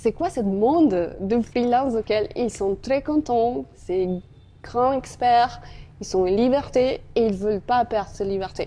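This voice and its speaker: A woman speaks at a fairly slow pace with a Spanish accent and a fairly high pitch. Her tone is dark and mellow. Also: ordinary pitch variation. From Colombia. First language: Spanish (speaking French). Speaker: marketing executive. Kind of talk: interview.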